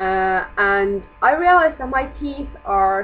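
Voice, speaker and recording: A woman is speaking. She has a non-native accent. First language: not English. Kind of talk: casual vlog talk to camera. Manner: mumbling.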